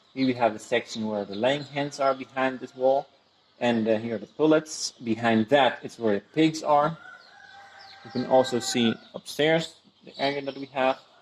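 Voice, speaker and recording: A man speaks at a moderate pace with fairly even intonation, his loudness swinging widely. Background noise is noticeable. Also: medium pitch for a man. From Venezuela. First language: Spanish. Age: 20s. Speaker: small farmer. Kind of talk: casual talk to camera, farm tour. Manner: hesitant, searches for words.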